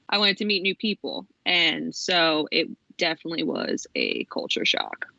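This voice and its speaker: Her loudness stays very even as the woman speaks at a moderate pace. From Philadelphia suburbs, Pennsylvania. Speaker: university graduate. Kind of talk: casual interview. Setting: podcast. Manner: animated.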